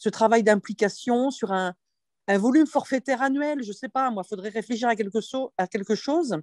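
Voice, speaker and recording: Against a quiet background, a woman speaks at a fairly high pitch with a dark, mellow tone and lively intonation, the sound dry with no echo. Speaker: teacher at agricultural school. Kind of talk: online meeting discussion. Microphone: video call.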